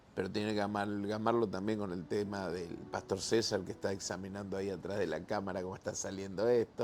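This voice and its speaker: The speech moves at a fairly quick pace with hardly any pauses and fairly even intonation. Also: man, fairly low pitch for a man. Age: 60s. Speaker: pastor. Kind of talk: casual chat. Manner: halting.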